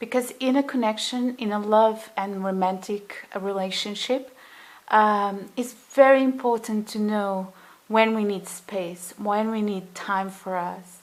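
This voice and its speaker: A woman's fairly high voice, with fairly even intonation and a fairly slow pace. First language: not English. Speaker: tarot reader. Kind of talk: tarot reading monologue. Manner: halting, many fillers; gentle, soothing.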